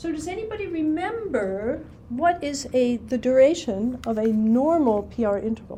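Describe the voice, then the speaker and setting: A woman's voice swings very widely in pitch amid noticeable background noise and audible room echo. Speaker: ECG instructor. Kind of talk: classroom lecture. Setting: classroom with students.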